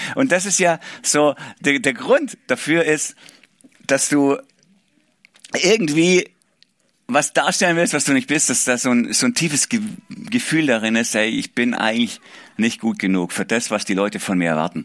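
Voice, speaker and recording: Using an animated tone, a man with a fairly high pitch talks at a moderate pace with very wide pitch swings and long, frequent pauses. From Swabia, southwest Germany. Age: 40s. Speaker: pastor. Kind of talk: sermon.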